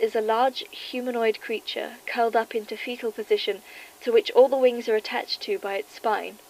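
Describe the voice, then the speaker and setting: A woman speaks in a British accent at a high pitch. Her pace is moderate. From England. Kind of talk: horror document reading.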